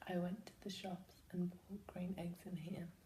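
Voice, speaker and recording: A put-on character voice, whispering, breathy and soft-spoken, at a moderate pace. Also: woman. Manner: soft, whispery.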